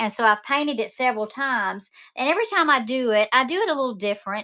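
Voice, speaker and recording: A woman with a Southern US accent, high-pitched and fairly quick, with ordinary pitch variation and a bright, sharp tone, on a very clean recording with a silent background. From Mississippi, US South. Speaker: online seller and painting instructor. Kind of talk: live-stream sales demo while painting. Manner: chatty, talkative; hesitant, many fillers.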